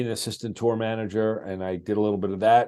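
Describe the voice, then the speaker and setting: A man with a New York accent speaks at a fairly quick pace. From US Northeast, Long Island. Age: 60s. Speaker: television producer. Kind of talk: interview storytelling.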